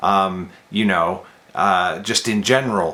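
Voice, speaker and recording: A man talks over noticeable background noise. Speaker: vlogger and indie author. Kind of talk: casual vlog monologue. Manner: speaking quietly; halting, repeats words.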